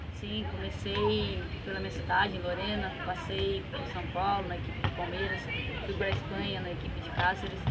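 Loud background noise fills this recording. Over it, a woman talks at a moderate pace. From Lorena, São Paulo, Brazil. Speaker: professional women's football player. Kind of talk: interview answer. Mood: calm, friendly. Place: stadium. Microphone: camera far.

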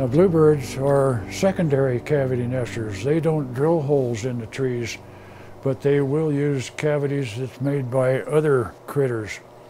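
Over noticeable background noise, a man talks at a medium pitch and fairly slow pace with ordinary pitch variation. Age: 80s+. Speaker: volunteer bluebird monitor. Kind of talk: documentary interview.

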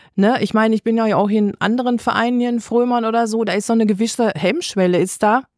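A woman with an unremarkable speaking voice at a moderate pace. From Westphalia, Germany (near Unna). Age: 60s. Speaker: florist and association board member. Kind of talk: interview.

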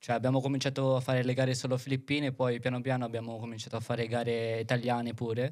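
Speaking very fast in a flat, monotone delivery, this voice comes over a quiet background. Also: man, very even loudness. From Philippines. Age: 20s. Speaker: dance choreographer; podcast guest. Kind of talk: casual chat. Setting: studio. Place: studio. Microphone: studio mic.

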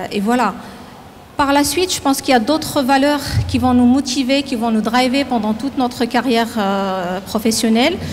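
A woman speaks at a high pitch and a moderate pace with ordinary pitch variation, over light background noise. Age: 40s. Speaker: company president. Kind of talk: interview; interview answer. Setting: factory. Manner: halting. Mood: calm, reflective. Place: factory. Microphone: handheld.

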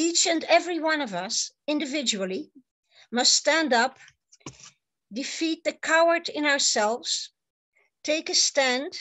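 A woman with a Dutch accent speaks at a high pitch with lively intonation, in a quiet background. Her pace is fairly slow, with long, frequent pauses. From Netherlands. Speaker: psychotherapist; conference speaker. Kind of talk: conference talk. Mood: earnest, urging. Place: home room. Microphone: webcam.

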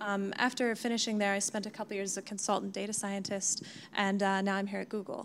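A woman speaks very fast in an American accent. Her intonation is monotone and flat, with light background noise behind her. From United States. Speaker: cloud customer engineer, data scientist; panelist. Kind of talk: panel discussion. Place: meeting room. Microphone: handheld.

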